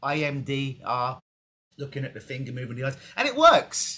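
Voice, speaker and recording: With an English accent, a man talks at a moderate pace and medium pitch in a bright, sharp tone. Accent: English accent, noticeable in Canada. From England. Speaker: hypnotist. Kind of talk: casual interview. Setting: video call.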